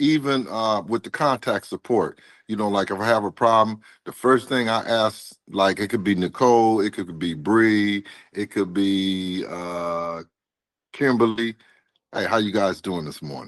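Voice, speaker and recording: Recorded with a dry, close sound, no echo and a quiet background, a man speaks at a fairly slow pace in a fairly low pitch with ordinary pitch variation. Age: 60s. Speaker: delivery driver, former railroad worker. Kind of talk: interview. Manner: animated.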